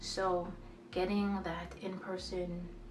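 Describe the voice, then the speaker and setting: A woman talks over noticeable background noise. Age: 20s. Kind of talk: casual talk to camera. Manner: hesitant.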